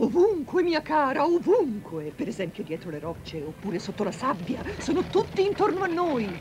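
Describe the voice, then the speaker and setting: Music plays in the background. The speech runs on with hardly any pauses. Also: moderate pace. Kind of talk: dubbed film dialogue, storytelling to a child.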